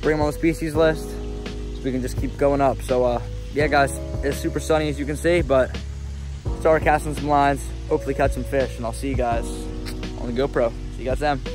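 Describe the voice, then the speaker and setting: A man talks at a fairly quick pace. Clear music plays behind him in a dry space with no echo. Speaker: fishing vlogger. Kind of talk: casual vlog chat. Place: garden. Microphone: lapel.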